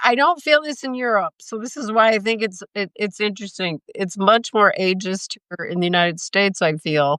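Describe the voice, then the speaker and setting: A woman with an American accent, a bright, sharp tone and a fairly slow pace. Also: dry, close sound with no echo, quiet background. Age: 60s. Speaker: interviewer, travel creator. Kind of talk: interview. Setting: live stream.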